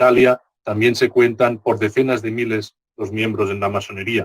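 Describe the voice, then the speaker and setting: Medium pitch from a male speaker, dry and close with no echo. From Spain. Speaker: Masonic grand master giving a lecture. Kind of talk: lecture. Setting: conference talk. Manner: slow, deliberate; hesitant with filler sounds.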